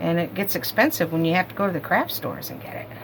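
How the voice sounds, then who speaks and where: A woman with a fairly low pitch is heard against noticeable background noise. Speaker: haul video creator. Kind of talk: casual product show-and-tell. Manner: fast.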